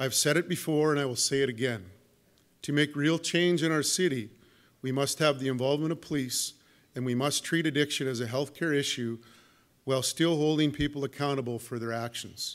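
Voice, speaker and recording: With a plain, everyday voice, a man speaks at a fairly high pitch and a fairly quick pace, his intonation fairly even. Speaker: police chief. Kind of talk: press conference statement. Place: hall. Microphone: podium.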